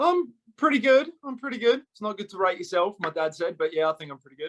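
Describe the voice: Talking fast with an Australian accent, a man with a high pitch shows ordinary pitch variation.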